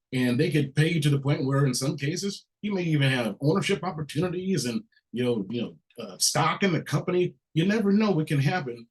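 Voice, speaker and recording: Delivery is fairly quick, with lively intonation. The voice sounds somewhat breathy. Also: man, fairly high pitch for a man. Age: 50s. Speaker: workshop host. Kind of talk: workshop moderation.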